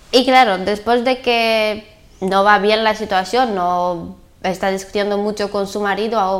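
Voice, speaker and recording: In a medium pitch, a woman talks at a fairly slow pace. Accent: Bulgarian. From Bulgaria. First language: Bulgarian (speaking Spanish). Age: 20s. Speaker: sex worker. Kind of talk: interview. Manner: halting.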